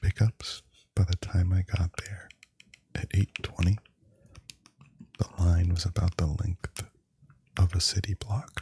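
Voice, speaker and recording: Soft-spoken and somewhat breathy, a man with a very deep, low pitch and relaxed tone speaks at a fairly slow pace in a monotone, flat intonation, with long, frequent pauses in a dry, close sound with no echo. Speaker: ASMR content creator. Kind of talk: ASMR unboxing, casual talk to camera. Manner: soft-spoken, slow, relaxed.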